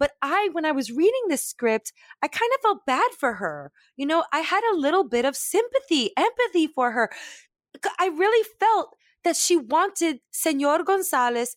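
With a New York accent, a woman speaks at a moderate pace in a high, animated voice whose pitch swings very widely, recorded dry and close with no echo against a silent background in a very clean recording. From New York, Brooklyn. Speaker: comedian and voice actor. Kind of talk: casual chat. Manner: loud.

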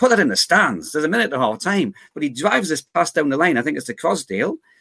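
With a Geordie accent, a man speaks at a very fast pace in an enthusiastic tone, his fairly high voice showing vocal fry and very wide pitch swings, the sound dry and close with no echo. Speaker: guest football fan. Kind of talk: casual chat.

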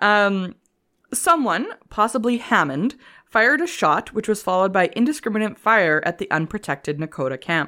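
In a Canadian accent, a woman with a bright, sharp tone speaks at a medium pitch and moderate pace, her pitch swinging very widely. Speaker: history podcast co-host. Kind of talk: casual chat with scripted history reading.

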